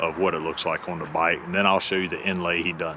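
Against noticeable background noise, a man speaks at a very deep, low pitch. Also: dry sound with no echo. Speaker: motorcycle owner vlogger. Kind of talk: casual vlog chat. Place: street. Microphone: lapel.

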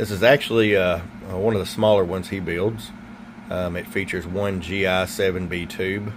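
There is noticeable background noise behind a man with a very deep, low pitch. His intonation stays fairly even. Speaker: CB radio equipment seller and reviewer. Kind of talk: product review. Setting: workbench. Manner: casual with many fillers. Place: workshop.

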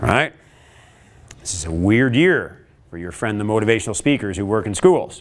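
With a Canadian accent, a man speaks at a fairly low pitch and a moderate pace, using lively intonation, big swings in loudness and long, frequent pauses. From Canada. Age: 50s. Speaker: motivational speaker; speaker. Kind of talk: workshop talk. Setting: stage with audience. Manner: animated. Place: classroom.

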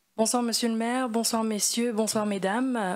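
Fairly high in pitch, a woman speaks at a moderate pace. Her intonation stays fairly even.

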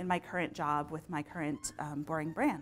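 A woman speaks at a moderate pace with an American accent. Her intonation stays fairly even. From Texas, San Antonio. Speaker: marketing communications manager. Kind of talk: conference talk. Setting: stage with audience. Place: hall. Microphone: lapel.

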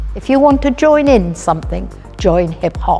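Faint music plays in the background while a woman speaks at a fairly slow pace. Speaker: hip hop dancer. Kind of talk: interview answer. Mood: warm, delighted. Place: hall.

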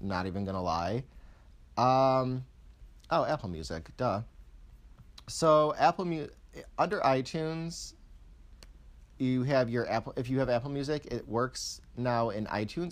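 A man's medium-pitched voice with very wide pitch swings and long, frequent pauses, on a very clean recording with a silent background. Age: 20s. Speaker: YouTuber. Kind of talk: tech review. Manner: casual.

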